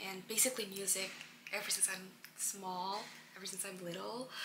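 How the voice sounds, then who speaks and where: A woman's medium-pitched voice comes through with audible room echo and noticeable background noise. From Indonesia. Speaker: international student, vlogger. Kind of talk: casual Q&A vlog. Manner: casual, halting.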